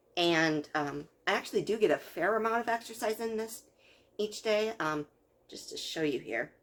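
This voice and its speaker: A woman speaks quietly at a moderate pace. She leaves long, frequent pauses. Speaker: video blogger. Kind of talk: casual vlog reaction. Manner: hesitant with many fillers.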